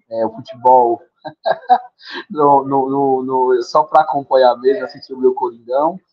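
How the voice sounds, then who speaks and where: A man's medium-pitched voice, fairly even in intonation, at a fairly slow pace with long, frequent pauses. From Brazil, Fortaleza, Ceará. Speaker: leadership program founder. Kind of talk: podcast interview.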